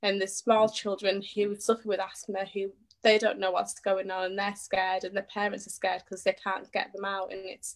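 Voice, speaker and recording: A woman with a British accent speaks at a fairly quick pace with hardly any pauses, her medium-pitched voice flat and monotone while its loudness swings widely. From northern England. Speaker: charity appeal organiser. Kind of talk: interview. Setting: Facebook live video.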